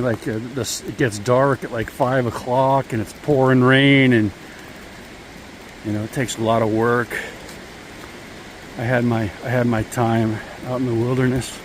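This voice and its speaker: Amid noticeable background noise, a man speaks at a moderate pace and medium pitch with fairly even intonation and long, frequent pauses. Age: 60s. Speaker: hiking vlogger. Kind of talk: casual vlog narration. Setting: outdoors on a trail in pouring rain.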